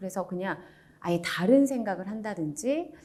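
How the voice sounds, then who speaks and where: Very wide pitch swings in a dark, mellow female voice. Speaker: announcer; audiobook narrator. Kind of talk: book review talk. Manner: calm, soothing.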